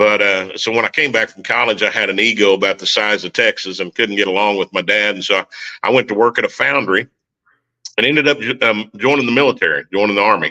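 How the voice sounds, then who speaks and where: At a very fast pace, a man with a strong Oklahoma accent speaks in a bright, sharp tone at fairly low pitch with ordinary pitch variation. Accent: Oklahoma country accent, strong. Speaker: military veteran and recording artist. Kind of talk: testimony.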